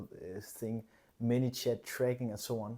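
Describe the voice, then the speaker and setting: A man with a non-native accent speaks at a moderate pace and medium pitch, his tone dark and mellow. His intonation is fairly even, on a very clean recording with a silent background. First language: not English. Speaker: fitness coach and business vlogger. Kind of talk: casual vlog monologue. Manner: hesitant, many fillers and repetitions.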